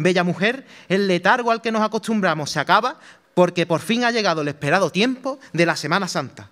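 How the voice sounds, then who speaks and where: A high-pitched man with a bright, sharp tone at a fairly quick pace, against a quiet background. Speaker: Holy Week proclaimer, brotherhood member; speaker. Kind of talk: formal declaimed speech. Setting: theatre stage with audience. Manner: solemn, rhetorical, emotive, with rhythmic verse cadence; exhortative, impassioned and devotional, building to a fervent cry at the close. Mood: solemn, poetic, emotive. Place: stage. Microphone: podium.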